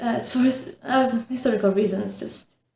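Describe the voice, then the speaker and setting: Somewhat breathy and dark, mellow in tone, a woman with a Czech accent talks at a moderate pace with fairly even intonation. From Czech Republic, northern Bohemia. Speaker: knitting podcaster. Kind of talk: casual chat. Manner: halting.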